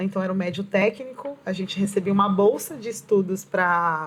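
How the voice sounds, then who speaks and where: Somewhat breathy, a woman speaks at medium pitch and a moderate pace with ordinary pitch variation. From Brazilian Northeast (Pernambuco), raised in São Paulo. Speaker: poet and educator. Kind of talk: interview.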